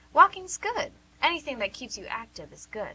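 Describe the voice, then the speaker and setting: In a put-on character voice, a female-sounding speaker goes extremely high in pitch with very wide pitch swings. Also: moderate pace. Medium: audio drama. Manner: warm, teasing.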